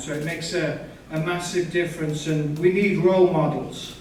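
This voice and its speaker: A man with a Yorkshire accent speaks at a high pitch with monotone, flat intonation. Noticeable background noise and audible room echo are present. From northern England (Yorkshire). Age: 50s. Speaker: birder and guest speaker. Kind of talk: public talk.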